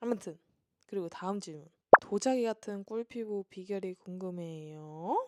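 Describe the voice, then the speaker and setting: With a plain, everyday voice, a woman talks fairly slowly at medium pitch and ordinary pitch variation, recorded dry and close with no echo. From South Korea. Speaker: vlogger. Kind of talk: Q&A vlog monologue. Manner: casual, chatty.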